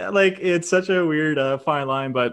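In a Canadian accent, a man with a normal speaking voice talks at a moderate pace, his pitch varying in an ordinary way. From Canada. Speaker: YouTube reaction creator. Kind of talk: casual chat.

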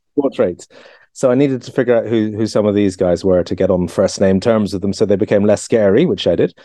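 A man with an Irish accent, fairly low in pitch with a dark, mellow tone, very fast pace and ordinary pitch variation. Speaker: author and historian. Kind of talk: casual chat. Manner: halting.

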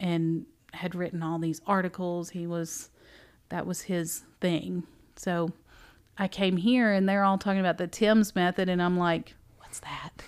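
In a very clean recording with a silent background, a woman with a Southern US accent speaks at a fairly low pitch, slowly and in a flat monotone, with long, frequent pauses. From Tennessee. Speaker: bookstore owner and former teacher. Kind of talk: casual interview. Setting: conference room.

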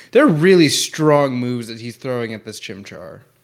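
In a very clean recording with a silent background, a man with a fairly high pitch speaks at a very fast pace. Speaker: podcast co-host. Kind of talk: casual podcast discussion.

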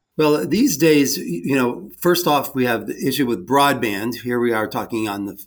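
In an American accent, an unremarkable speaking voice moves at a moderate pace with lively intonation and hardly any pauses. The recording is very clean, with a silent background. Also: man. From Great Lakes island, Ohio. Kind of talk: casual interview.

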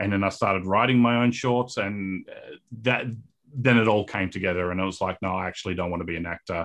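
This man has an Australian accent. His pitch moves in an ordinary way. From Australia, Perth. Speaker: filmmaker. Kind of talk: interview. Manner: halting, many fillers.

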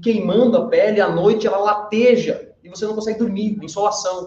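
A man talks at a fairly quick pace in a high voice. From western Santa Catarina, Brazil. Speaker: workplace safety trainer. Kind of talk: casual chat. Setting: auditorium.

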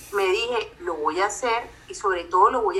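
A woman's fairly high voice with a strong Colombian coastal accent, very wide pitch swings and a moderate pace. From Colombia, Barranquilla. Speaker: psychologist and life coach. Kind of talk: casual interview.

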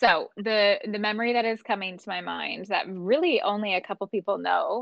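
Medium pitch marks this woman's voice, with ordinary pitch variation. She talks at a moderate pace. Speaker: breathwork coach. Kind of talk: casual interview chat.

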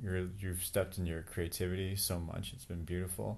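A man with a very deep, low pitch talks at a fairly quick pace, with audible room echo around him. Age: 40s. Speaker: departing podcast co-participant, entrepreneur. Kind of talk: casual chat.

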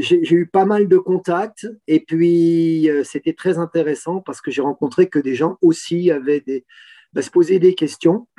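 The voice has a dark, mellow tone and fairly even intonation. It moves at a fairly slow pace, with a dry, close sound and no echo. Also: man, high pitch for a man. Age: 60s. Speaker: retired engineer and environmental volunteer. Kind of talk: interview testimony. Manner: halting with fillers.

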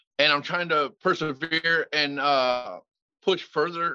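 A man's fairly high-pitched voice, a normal speaking voice, with ordinary pitch variation. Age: 40s. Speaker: recovering addict sharing his story. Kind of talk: testimony.

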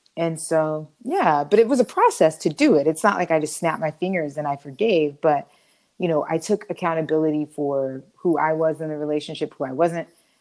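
Energetic in tone, a woman speaks fairly quickly with a very deep, low pitch. Her pitch variation is ordinary. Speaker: podcast co-host. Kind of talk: casual chat.

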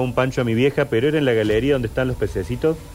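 Very fast speech comes from a man. He has a Córdoba Argentine accent. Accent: Córdoba Argentine Spanish (tonada cordobesa). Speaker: local history storyteller on a radio show. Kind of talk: storytelling and casual radio chat. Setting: live radio studio streamed online.

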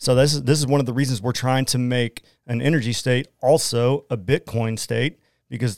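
In an Oklahoma accent, a man talks at a fairly quick pace with medium pitch and ordinary pitch variation, recorded very cleanly with a dry, close sound, no echo and a silent background. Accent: Oklahoman. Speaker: Bitcoin miner and entrepreneur. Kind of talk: casual interview. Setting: studio.

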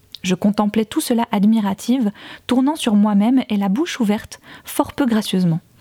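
A woman with a fairly high pitch and a dark, mellow, somewhat breathy tone speaks with ordinary pitch variation and very even loudness in a dry, close sound with no echo. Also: moderate pace. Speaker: podcast fiction narrator and author. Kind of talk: literary audiobook reading of a first-person novel, narrated as a woman's memoir; casual recap intro followed by scripted narration. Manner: casual and chatty in the recap, then a more formal literary delivery.

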